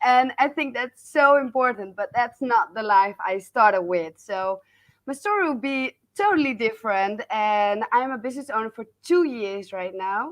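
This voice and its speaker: A woman's high-pitched voice with a Dutch accent. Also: lively intonation, moderate pace. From Netherlands. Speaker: business coach. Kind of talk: interview. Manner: halting.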